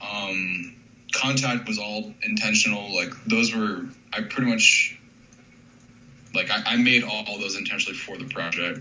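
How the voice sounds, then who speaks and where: A man at a moderate pace and medium pitch, fairly even intonation, big swings in loudness, long, frequent pauses, noticeable background noise and audible room echo. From North Carolina. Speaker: hip hop beat producer. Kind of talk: interview. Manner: casual, many fillers.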